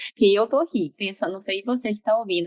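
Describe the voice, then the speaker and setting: Here is a woman with a plain, everyday voice and ordinary pitch variation. The sound is dry and close, with no echo. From Brazil. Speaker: podcast host, psychologist. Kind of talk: podcast interview.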